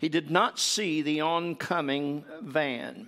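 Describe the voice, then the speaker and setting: In a very clean recording with a silent background, a man talks in an Appalachian accent. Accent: Appalachian Southern US. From US South, East Tennessee. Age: 70s. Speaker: visiting preacher. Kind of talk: sermon. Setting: church.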